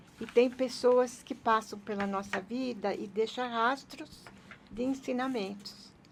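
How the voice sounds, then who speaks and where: A woman talks at a very slow pace with a high pitch. Her intonation stays fairly even. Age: 80s+. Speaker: businesswoman and author. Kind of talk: interview answer.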